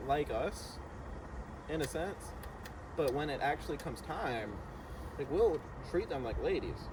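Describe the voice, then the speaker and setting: The speaker is a man with a fairly high pitch. Audible room echo surrounds his voice. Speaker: podcast co-host. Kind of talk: casual chat. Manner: energetic.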